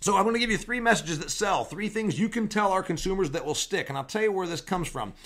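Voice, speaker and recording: An energetic, high-pitched man talking very fast with hardly any pauses, over noticeable background noise. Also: ordinary pitch variation. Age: 40s. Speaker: podcast host and agriculture business speaker. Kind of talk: solo podcast monologue. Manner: conversational, energetic.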